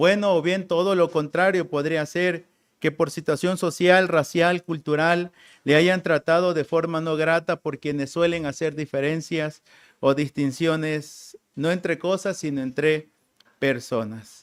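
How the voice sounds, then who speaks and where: A man with a Tabasco accent talks at a fairly slow pace, his pitch fairly high and his intonation fairly even. The recording is very clean, with a silent background. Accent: Tabasco Mexican Spanish. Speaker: preacher. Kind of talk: sermon.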